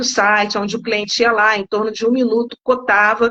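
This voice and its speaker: A woman's fairly high voice, bright and sharp in tone, with monotone, flat intonation. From Rio de Janeiro, Brazil. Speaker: insurance company product specialist. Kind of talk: live-stream interview. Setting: online live stream.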